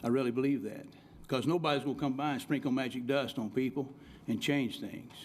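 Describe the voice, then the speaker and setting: A man speaks with a rural Oklahoma accent. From Oklahoma, Cherokee County. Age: 60s. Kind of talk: public meeting rebuttal. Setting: city commission meeting.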